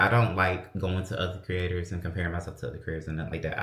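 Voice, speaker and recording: An animated man speaks in a bright, sharp tone. Audible room echo surrounds his voice. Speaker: lifestyle vlogger. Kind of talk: casual vlog chat. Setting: at home, closet.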